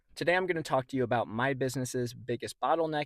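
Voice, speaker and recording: The sound is dry and close with no echo, the recording very clean over a silent background, and the pitch varies in an ordinary way. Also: man. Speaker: trading card reseller and video creator. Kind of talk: casual vlog monologue.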